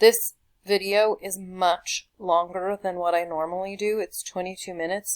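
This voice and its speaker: A woman speaks at a moderate pace with a medium pitch. Her intonation is monotone and flat, and the sound is dry and close with no echo. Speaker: teacher. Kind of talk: tutorial. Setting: screencast recording. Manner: halting.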